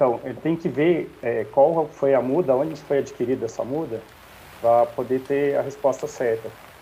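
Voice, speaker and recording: There is noticeable background noise behind a man speaking at a moderate pace. His pitch is fairly high and his intonation fairly even. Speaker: strawberry grower. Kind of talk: live Q&A answer.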